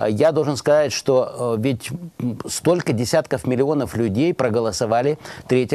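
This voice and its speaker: The man's intonation is lively. He keeps a moderate pace. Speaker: TV talk show host. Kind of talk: political talk show discussion. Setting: TV studio. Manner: formal. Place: studio. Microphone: lapel.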